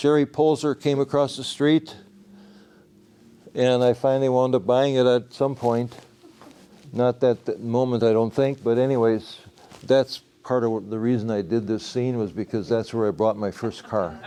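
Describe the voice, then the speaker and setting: Medium-pitched man with an American accent, ordinary pitch variation, a moderate pace and long, frequent pauses. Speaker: local artist presenting his work. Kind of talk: public presentation with audience questions. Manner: raised voice to carry in room.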